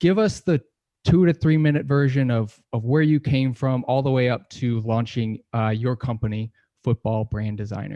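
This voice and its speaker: A man with an American accent speaks at a moderate pace, with a medium pitch and ordinary pitch variation. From US, Rochester, New York. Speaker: podcast host. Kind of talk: podcast interview.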